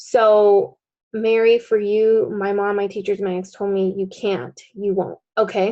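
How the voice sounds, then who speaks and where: Speaking at a very slow pace, a woman with a medium pitch uses fairly even intonation and a dark, mellow tone. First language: Spanish. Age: adult. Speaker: coach leading a group training class. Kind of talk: group coaching session. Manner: casual, conversational with fillers.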